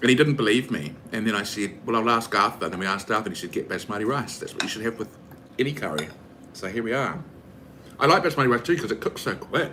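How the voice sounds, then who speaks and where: A man with a New Zealand accent, medium-pitched, animated in tone, with lively intonation and a very fast pace. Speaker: streamer. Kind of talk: casual chat.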